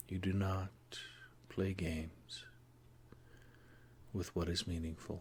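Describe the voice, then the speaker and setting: A man's very deep, low, somewhat breathy voice, flat and monotone, very slow, with long, frequent pauses. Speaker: hypnotherapist. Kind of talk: guided hypnosis session.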